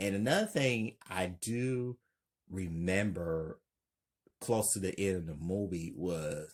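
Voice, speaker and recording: This man talks at a very slow pace, his very deep, low pitch showing ordinary variation. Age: 30s. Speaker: YouTuber. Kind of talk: casual monologue.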